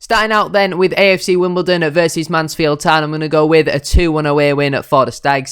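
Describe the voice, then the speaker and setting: Very fast speech from a man at a fairly high pitch, on a very clean recording with a silent background. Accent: Yorkshire. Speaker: football fan YouTuber. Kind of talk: football match preview and score predictions. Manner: fast-talking, usually.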